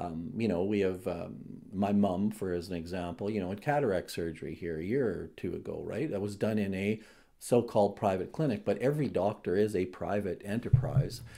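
With a Canadian Prairies accent, a man delivers his words at a fairly quick pace. His tone is dark and mellow. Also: fairly low pitch for a man, ordinary pitch variation. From southern Alberta, Canada. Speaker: provincial party leader, former mayor. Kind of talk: interview.

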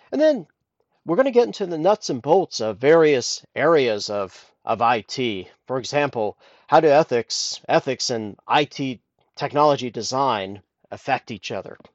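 The speaker has a Midwestern accent. The pace is moderate. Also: man. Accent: General American (Midwest). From US Midwest, Columbus, Ohio. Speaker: podcast host, IT engineer. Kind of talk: solo podcast monologue. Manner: halting, frequent fillers.

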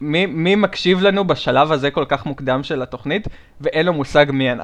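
A man with an ordinary speaking voice talks fairly quickly, his fairly high pitch showing ordinary pitch variation. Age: 20s. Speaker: podcast co-host. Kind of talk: casual chat.

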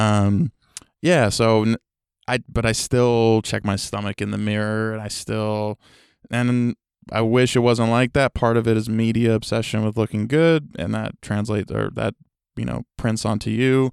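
A man with an ordinary speaking voice and an American accent, medium pitch, fairly even intonation and a fairly slow pace, in a dry, close sound with no echo on a very clean recording with a silent background. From New York City. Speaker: rapper. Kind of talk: casual chat. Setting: studio.

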